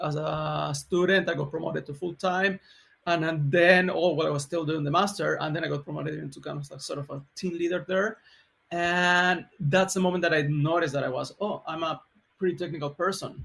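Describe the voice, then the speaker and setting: With a Chilean accent, a man talks at a fairly quick pace. His pitch is high and his intonation fairly even. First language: Spanish. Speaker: software engineering leader. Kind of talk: podcast interview.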